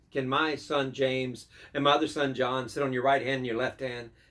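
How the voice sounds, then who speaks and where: A man with an unremarkable speaking voice talks at a fairly quick pace in a fairly high pitch. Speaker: pastor. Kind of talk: devotional sermon.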